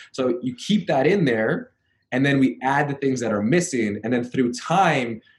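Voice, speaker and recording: An unremarkable speaking voice from a man with a Canadian accent, lively intonation and a fairly quick pace. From Canada. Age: 30s. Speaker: personal trainer. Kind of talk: interview.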